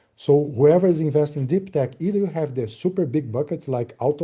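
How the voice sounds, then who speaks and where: A man's somewhat breathy voice with a dark, mellow tone and ordinary pitch variation. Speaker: meeting moderator and presenter. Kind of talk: online business meeting presentation. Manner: fast; hesitant with fillers.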